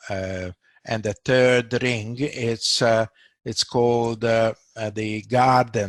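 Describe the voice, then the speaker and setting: A man at medium pitch, a very slow pace, and a quiet background. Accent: Hungarian. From Hungary, Budapest. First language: Hungarian. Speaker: doctor. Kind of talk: casual discussion. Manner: halting, many fillers.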